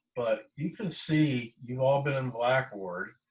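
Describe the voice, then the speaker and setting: An ordinary speaking voice from a man, fairly slow pace, ordinary pitch variation. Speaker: college instructor. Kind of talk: online class lecture.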